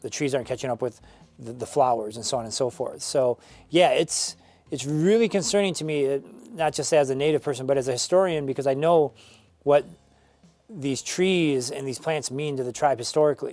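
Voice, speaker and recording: Over background music, a man with an American accent talks at a fairly quick pace, his fairly high voice showing ordinary pitch variation. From Northern Michigan, USA. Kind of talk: interview answer.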